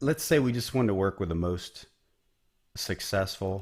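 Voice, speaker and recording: On a very clean recording with a silent background, a man with an Ohio accent speaks at a moderate pace in a fairly low voice with lively intonation. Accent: Ohio Midwest. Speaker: business coach. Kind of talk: tutorial. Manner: casual, conversational.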